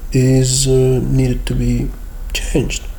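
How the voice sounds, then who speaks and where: Echo from the room is audible as the man talks. There is noticeable noise in the background as well. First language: Russian. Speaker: university lecturer. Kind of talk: screen-share tutorial. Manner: hesitant with fillers.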